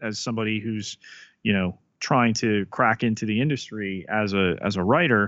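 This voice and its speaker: A man with a plain, everyday voice, medium pitch and moderate pace. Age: 40s. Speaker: podcast co-host. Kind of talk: casual chat.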